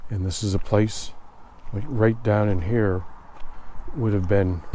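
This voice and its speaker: Audible room echo colors a man's fairly low voice as he speaks at a fairly slow pace with fairly even intonation. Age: 60s. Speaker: army veteran and former shop owner. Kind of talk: casual reminiscence.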